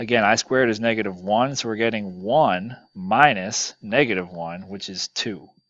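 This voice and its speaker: Over a quiet background, a man with an ordinary speaking voice and a fairly low pitch talks at a moderate pace with hardly any pauses and big swings in loudness. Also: ordinary pitch variation. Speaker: math teacher. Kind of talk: lecture. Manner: casual with fillers.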